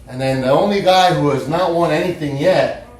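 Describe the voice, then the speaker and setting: Against noticeable background noise and audible room echo, a man talks at a moderate pace with ordinary pitch variation. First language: not English. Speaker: fantasy football podcast host. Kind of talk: casual podcast monologue. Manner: halting, many repeated words.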